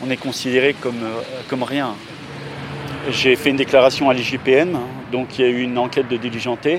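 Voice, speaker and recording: A man of medium pitch talks at a moderate pace. Noticeable background noise runs underneath. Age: 50s. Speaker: care worker and former soldier. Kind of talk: testimony.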